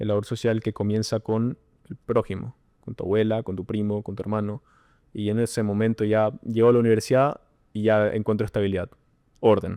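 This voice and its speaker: Speaking at a fairly quick pace, a man with a dark, mellow tone talks in a flat monotone, his sound dry and close with no echo over a quiet background. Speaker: podcast guest, university student. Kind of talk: casual chat. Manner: halting, many self-repetitions.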